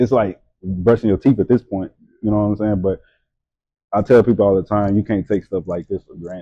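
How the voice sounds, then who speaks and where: With a Louisiana accent, a man speaks at a fairly quick pace in a fairly low pitch, with fairly even intonation. His loudness swings widely, and he takes long, frequent pauses. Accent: Louisiana Southern US. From Louisiana, Hammond. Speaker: model and entrepreneur. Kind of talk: casual chat. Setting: studio, during tattoo session.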